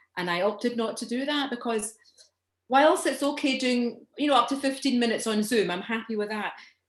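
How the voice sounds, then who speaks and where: A woman speaks with a Scottish accent at a high pitch. Her pace is fairly quick, with ordinary pitch variation. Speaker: stand-up comedian and actor. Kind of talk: interview answer.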